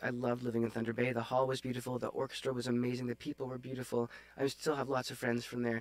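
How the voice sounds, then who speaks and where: At a very fast pace, a man with a Canadian accent speaks at a medium pitch in a flat monotone, the sound dry with no echo. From Northern Ontario, Canada (Sudbury); Ontario. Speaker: oboe player; podcast guest. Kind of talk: casual interview chat. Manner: hesitant with many fillers. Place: home room. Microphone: studio mic.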